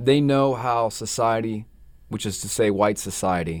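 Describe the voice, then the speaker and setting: A man with a North Carolina accent speaks at a fairly slow pace with lively intonation. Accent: Southern US (North Carolina). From North Carolina (Gastonia). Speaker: novelist. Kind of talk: interview. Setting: radio studio.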